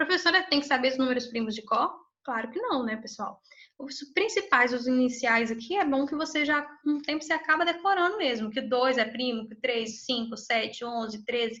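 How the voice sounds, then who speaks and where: A woman's high, raised and projected voice with a bright, sharp tone, lively intonation and a moderate pace. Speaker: math teacher. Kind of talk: lecture.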